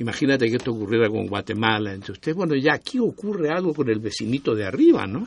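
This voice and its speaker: A man talks very fast with hardly any pauses. His pitch is medium and his intonation lively. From Chile. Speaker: historian of public health. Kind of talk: casual chat.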